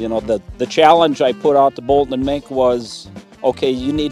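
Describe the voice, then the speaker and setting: Faint music sits in the background, and the sound is dry with no echo. The delivery is fairly quick, with ordinary pitch variation. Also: man. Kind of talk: interview answer. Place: open country.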